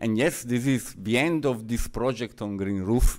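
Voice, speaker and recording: This man has a medium pitch and lively intonation. He speaks with an Italian accent. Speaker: researcher presenting findings. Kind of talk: conference presentation. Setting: seminar with audience. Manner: halting.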